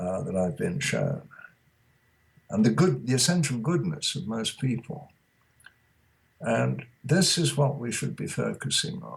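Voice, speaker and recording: This man's fairly high voice carries vocal fry and a lively intonation. He goes at a fairly slow pace, with long, frequent pauses. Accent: British. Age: 80s+. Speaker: author. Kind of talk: interview.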